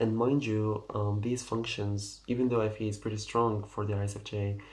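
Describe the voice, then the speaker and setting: With audible room echo, a man speaks at a moderate pace in a fairly low, somewhat breathy voice with monotone, flat intonation. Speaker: personality type video creator. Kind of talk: casual explainer monologue. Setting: at home at night. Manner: quiet, ASMR-like; halting, many fillers.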